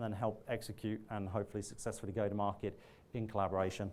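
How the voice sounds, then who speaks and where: Here a man is speaking. His pitch is medium and his pace very fast. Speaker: technology partner manager. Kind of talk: conference keynote talk. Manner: halting, many false starts.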